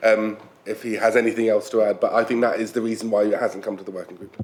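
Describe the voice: Speaking at a fast pace with little pitch movement, a man's voice carries audible room echo. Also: fairly low pitch for a man.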